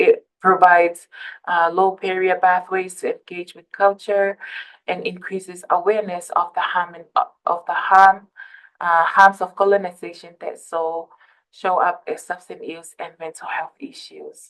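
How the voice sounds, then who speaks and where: A woman with a Tongan accent, medium pitch and monotone, flat intonation, at a fairly slow pace with big swings in loudness. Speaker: public health program specialist. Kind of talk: conference presentation. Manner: halting, many fillers.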